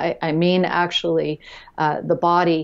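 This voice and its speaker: A woman with an American accent, fairly low-pitched, flat and monotone, at a moderate pace against a quiet background. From Florida, US. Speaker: nutrition and health consultant; guest. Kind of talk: podcast interview. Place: office. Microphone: earbuds.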